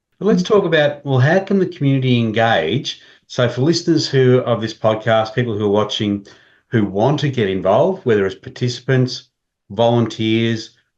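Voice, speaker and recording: With an Australian accent, a man speaks at a medium pitch and with lively intonation. The background is quiet. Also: moderate pace. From regional Australia. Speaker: podcast host. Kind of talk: casual chat.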